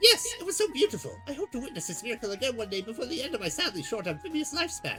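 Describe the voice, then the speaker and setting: A high-pitched, put-on character voice rattles along at a very fast pace. Clear music plays in the background. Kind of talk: formal, poetic. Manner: wistful, dramatic.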